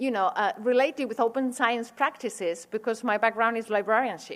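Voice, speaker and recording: A woman speaks with a Spanish accent. Her pitch is fairly high, with ordinary variation. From Spain. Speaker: university administrator and researcher. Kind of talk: lecture. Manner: halting.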